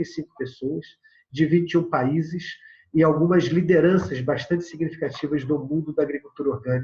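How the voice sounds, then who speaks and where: Fairly high in pitch, a man speaks at a fairly quick pace. His intonation stays fairly even. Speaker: agroecology organization founder, lecturer. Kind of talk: recorded video lecture with slides. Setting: prerecorded remote presentation. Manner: fast.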